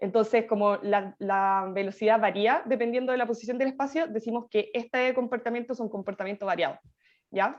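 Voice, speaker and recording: A woman with an unremarkable speaking voice talks at a fairly high pitch and a fairly quick pace with fairly even intonation over a quiet background. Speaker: teaching assistant. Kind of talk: tutorial.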